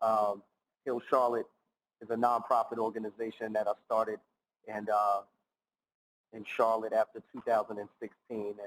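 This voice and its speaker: In a dry, close sound with no echo, a man speaks at a medium pitch and a moderate pace, his monotone, flat delivery marked by long, frequent pauses and big swings in loudness. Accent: New York. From New York City (Bronx). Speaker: nonprofit founder and keynote speaker. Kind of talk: keynote speech. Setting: recorded for virtual conference.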